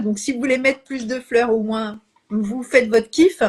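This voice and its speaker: Somewhat breathy female voice, rather slow in delivery. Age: 60s. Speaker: Bach flower practitioner and live host. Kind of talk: casual chat. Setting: Instagram live video. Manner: hesitant, many fillers.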